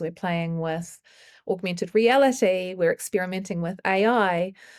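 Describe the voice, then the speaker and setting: Speaking at a medium pitch, a woman talks with a New Zealand accent. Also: very clean recording, silent background. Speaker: choreographer. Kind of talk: interview.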